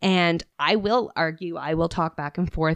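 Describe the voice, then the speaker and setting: A woman's very deep, low pitch in a dry, close sound with no echo and a quiet background. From Atlantic Canada. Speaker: podcast guest. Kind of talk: casual chat. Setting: home in the woods. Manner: animated.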